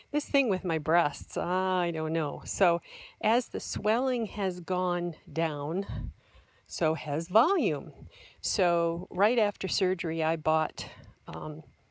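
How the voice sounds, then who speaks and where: The pace is very slow against a quiet background. The sound is dry, with no echo. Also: woman, fairly low pitch for a woman, ordinary pitch variation. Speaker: vlogger. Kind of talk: casual vlog chat. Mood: chatty, amused. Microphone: phone near.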